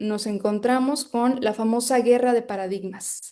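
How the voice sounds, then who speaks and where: A woman with a high pitch and a dark, mellow tone, fairly even intonation, over a quiet background. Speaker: psychology researcher and lecturer. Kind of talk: lecture.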